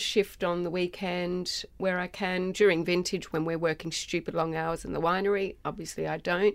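A woman speaks with an Australian accent at a medium pitch. The recording is very clean, with a silent background. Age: 40s. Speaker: winemaker and nurse. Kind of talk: casual chat.

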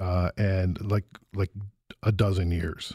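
A man speaks with a dark, mellow tone and a somewhat breathy quality. The sound is dry and close, with no echo. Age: 40s. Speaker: radio executive and podcaster. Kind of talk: interview. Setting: studio. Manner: halting.

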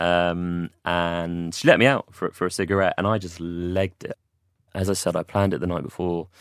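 In a London accent, a man with a very deep, low pitch speaks with fairly even intonation in a very clean, silent-background recording that sounds dry and close, with no echo. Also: moderate pace. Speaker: mental health campaigner. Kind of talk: interview testimony. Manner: halting.

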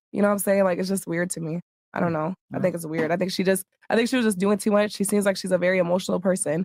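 An American woman talks at a very fast pace, with an American accent. Her intonation stays fairly even. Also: medium pitch for a woman. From Iowa. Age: 20s. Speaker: reality star and dancer. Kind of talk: casual chat.

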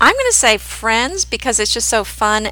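This is a woman speaking. Her pace is moderate. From Oklahoma-born, raised in New Jersey and Pennsylvania. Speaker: podcast host, home decorating blogger. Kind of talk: casual chat, podcast conversation.

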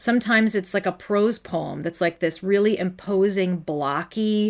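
Heard on a very clean recording with a silent background, a woman with a plain, everyday voice talks at a moderate pace with ordinary pitch variation. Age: 40s. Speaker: poet and memoir author. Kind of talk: casual interview conversation.

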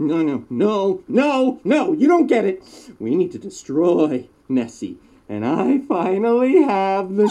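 Speaking at a fairly slow pace, a man uses a high pitch with very wide pitch swings. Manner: manic, gleeful, cackling.

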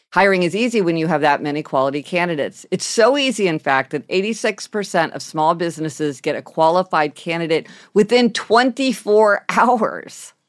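With a normal speaking voice, a woman talks at a fairly quick pace with hardly any pauses, using a fairly low pitch and lively intonation, in a very clean recording with a silent background. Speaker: podcast host. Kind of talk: casual chat. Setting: home office.

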